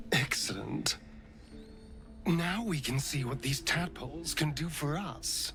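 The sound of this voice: A man puts on a character voice at a fairly high pitch with vocal fry and a bright, sharp tone. His lively intonation unfolds at a slow pace over faint music in the background.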